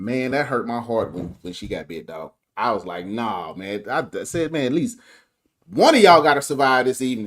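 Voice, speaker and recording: A man's medium-pitched voice at a moderate pace, with vocal fry, very wide pitch swings and big swings in loudness. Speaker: guest movie reviewer, voice artist. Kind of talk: casual chat. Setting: live stream.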